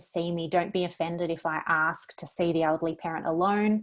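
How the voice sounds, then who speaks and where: Against a quiet background, a woman talks at a moderate pace in a fairly low pitch, her intonation monotone and flat. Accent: Australian. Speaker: lawyer. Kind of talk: webinar presentation. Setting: online webinar.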